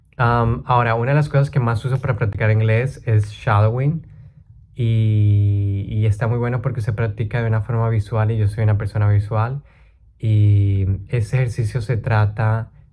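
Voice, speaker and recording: Somewhat breathy and dark, mellow in tone, a man's voice sits at a medium pitch. He speaks at a moderate pace with fairly even intonation and very even loudness. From Colombia. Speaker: language learning YouTuber. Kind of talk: casual talk to camera.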